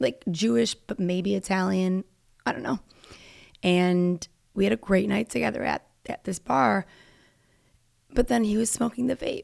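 This woman's animated delivery swings very widely in pitch and breaks into long, frequent pauses. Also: medium pitch for a woman, moderate pace. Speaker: podcast host. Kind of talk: casual monologue.

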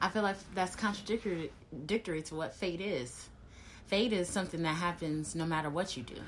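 Speaking at a moderate pace, a woman with a plain, everyday voice has a fairly low pitch and ordinary pitch variation. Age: 30s. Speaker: marketer and writer. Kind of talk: casual chat.

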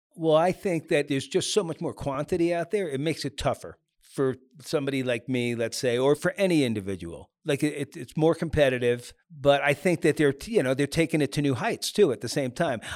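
Speaking with an American accent, a man has a normal speaking voice and a fairly high pitch with ordinary pitch variation. He talks fairly quickly in a very clean recording with a silent background. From US Northeast, New York suburbs. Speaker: ski photographer. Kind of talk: casual interview.

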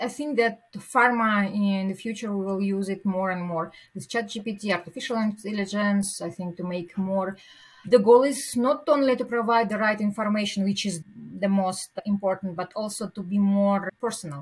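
A somewhat breathy woman with medium pitch talks at a moderate pace with ordinary pitch variation. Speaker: pharmaceutical executive. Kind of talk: casual interview conversation. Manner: hesitant, searching for words.

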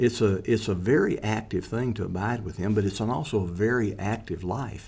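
Somewhat breathy and fairly low in pitch, a man speaks at a moderate pace. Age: 70s. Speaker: ministry founder. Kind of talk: casual chat.

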